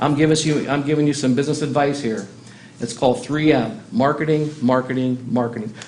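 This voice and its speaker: The speech moves at a fairly quick pace with ordinary pitch variation. Noticeable background noise and audible room echo fill the recording. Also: man, fairly high pitch for a man. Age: 60s. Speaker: city council member. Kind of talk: council meeting remarks. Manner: animated.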